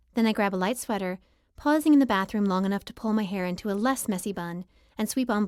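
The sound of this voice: The voice heard here is an unforced reading voice.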